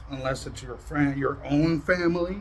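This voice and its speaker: At a moderate pace, a man speaks with a fairly high pitch amid noticeable background noise. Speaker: YouTube drama commentator. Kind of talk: casual monologue to viewers. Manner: loud; aggressive-sounding tone.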